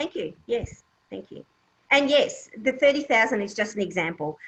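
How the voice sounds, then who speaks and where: A woman with an Australian accent talks with lively intonation. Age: 60s. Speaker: property investment specialist. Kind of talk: Q&A at online business meeting. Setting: online video meeting.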